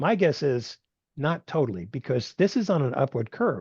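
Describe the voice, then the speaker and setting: Set against a quiet background, a man's somewhat breathy voice sits at a medium pitch with a dark, mellow tone. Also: dry, close sound with no echo. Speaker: technology institute executive director, speaker. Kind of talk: webinar Q&A. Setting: video call. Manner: fast.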